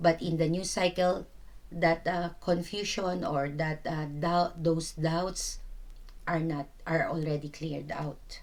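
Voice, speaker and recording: A woman speaks with a very deep, low pitch and fairly even intonation. Her pace is fairly slow. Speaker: tarot reader. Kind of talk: tarot reading. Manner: halting, stuttering; casual, filler-heavy.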